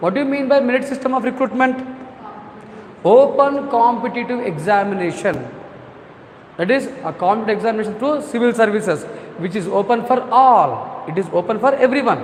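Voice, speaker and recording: With a Telugu accent, someone speaks at a fairly quick pace with ordinary pitch variation, amid audible room echo and noticeable background noise. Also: man, extremely high pitch for a man. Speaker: civil services exam coaching teacher. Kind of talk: lecture. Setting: live online class. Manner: repetitive, frequent 'all right' fillers.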